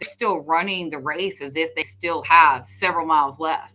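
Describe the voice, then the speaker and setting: At a moderate pace, a woman with a fairly low pitch and a bright, sharp tone speaks with ordinary pitch variation. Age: 40s. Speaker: pickleball agent. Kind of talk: podcast interview. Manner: halting.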